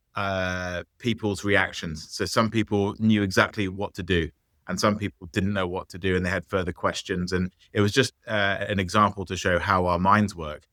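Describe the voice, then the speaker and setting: This man speaks with an English accent in a bright, sharp tone. His pace is moderate, his intonation fairly even, and the sound is dry and close, with no echo. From England. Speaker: business founder. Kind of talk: interview. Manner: halting, many fillers.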